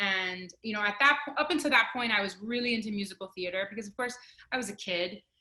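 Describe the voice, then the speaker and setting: Her pitch is fairly high, with ordinary variation. The woman's tone is bright and sharp. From Miami, Florida (Cuban-American family). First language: Spanish. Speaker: opera singer. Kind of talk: interview.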